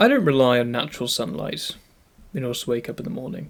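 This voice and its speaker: Speaking at a fairly quick pace, a man talks in a British accent. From UK. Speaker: YouTuber. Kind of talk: scripted narration.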